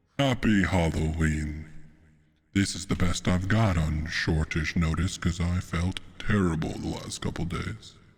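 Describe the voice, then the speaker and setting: The speaker sounds somewhat breathy and talks at a fairly slow pace. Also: man, very deep, low pitch for a man, ordinary pitch variation. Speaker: livestreamer. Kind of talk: casual chat. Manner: put-on creepy voice.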